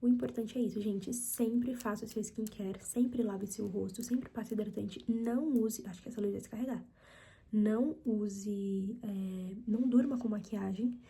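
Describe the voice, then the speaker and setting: At a moderate pace, the somewhat breathy voice has a dark, mellow tone and fairly even intonation. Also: woman, fairly high pitch for a woman. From Brazil, São Paulo (Mauá, ABC region). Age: 20s. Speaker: ASMR youtuber. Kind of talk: casual Q&A chat. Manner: soft, ASMR-style.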